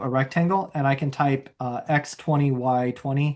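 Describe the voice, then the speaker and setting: This man talks at a moderate pace in a plain, everyday voice, fairly high in pitch. His intonation is fairly even, and the background is quiet. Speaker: software trainer. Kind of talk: tutorial. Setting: video call.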